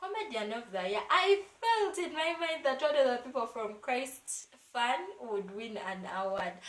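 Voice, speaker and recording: A woman's fairly high voice in an animated tone, with very wide pitch swings and a moderate pace. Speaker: YouTuber, gospel music reviewer. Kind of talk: casual vlog review.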